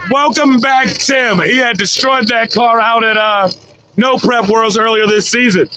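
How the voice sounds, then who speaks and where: Amid noticeable background noise, a man uses a raised, projected voice at an extremely high pitch, with very even loudness. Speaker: drag racing livestream commentator. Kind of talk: live commentary. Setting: livestream. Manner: animated.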